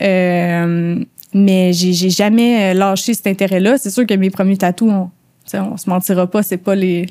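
Speaking at a very slow pace, a woman uses a medium-pitched, dark and mellow voice with monotone, flat intonation. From Quebec, suburbs of Montreal. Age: 30s. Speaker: tattoo artist. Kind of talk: casual interview chat.

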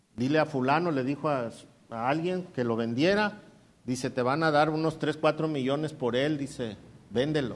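A man's fairly high, normal speaking voice at a moderate pace with ordinary pitch variation. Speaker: pastor. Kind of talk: sermon. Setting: church.

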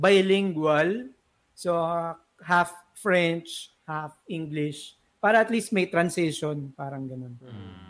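The speech moves at a very slow pace with big swings in loudness, on a very clean recording with a silent background. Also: man, high pitch for a man. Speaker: graphic designer. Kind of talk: casual interview.

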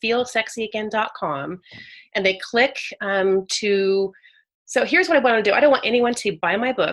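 A woman's plain, everyday voice in an American accent, fairly high in pitch, with lively intonation at a fairly quick pace. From Northern California. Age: 40s. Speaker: author. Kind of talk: casual interview. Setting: remote call.

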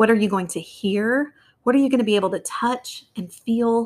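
A woman speaks at a moderate pace with ordinary pitch variation. She has a normal speaking voice. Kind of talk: guided visualization meditation.

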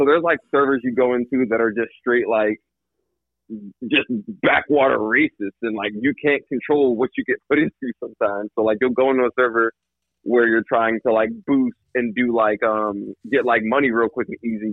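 A man using a normal speaking voice keeps a medium pitch, a moderate pace and fairly even intonation. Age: 30s. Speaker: podcast guest. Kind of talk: casual chat.

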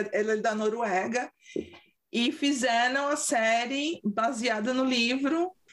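A woman with a São Paulo accent speaks in an animated tone, her high voice showing ordinary pitch variation. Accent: São Paulo Brazilian Portuguese. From Brazil, São Paulo. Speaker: podcast co-host. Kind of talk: casual chat.

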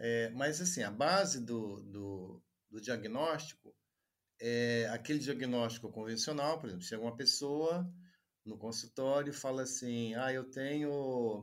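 Fairly slow delivery from a man, medium in pitch, with ordinary pitch variation. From Juiz de Fora, Minas Gerais, Brazil. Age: 40s. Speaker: doctor and teacher. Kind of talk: interview conversation.

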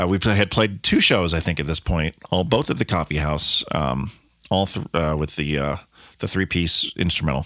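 A man with an American accent, very deep and low in pitch, bright and sharp in tone with vocal fry, in a dry, close sound with no echo. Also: ordinary pitch variation, moderate pace. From Colorado, US. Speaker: musician and podcast host. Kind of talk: casual solo monologue.

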